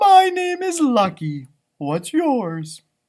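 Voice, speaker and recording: The delivery is a put-on character voice at a fairly high pitch. It swings very widely in pitch. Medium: read story. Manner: warm, eager.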